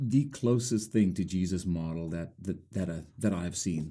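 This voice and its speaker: A man speaks in a South African accent. His tone is dark and mellow, with ordinary pitch variation. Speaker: ministry leader. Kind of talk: interview.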